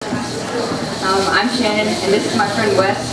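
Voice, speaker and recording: A woman is speaking. Loud background noise and audible room echo fill the recording. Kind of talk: stage introduction. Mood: shy, friendly. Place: cafe.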